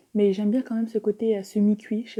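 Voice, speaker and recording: At a very fast pace, a woman with a fairly high pitch speaks in a somewhat breathy, dark, mellow tone. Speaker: mukbang youtuber. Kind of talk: mukbang casual chat while eating. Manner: chewing, eating sounds.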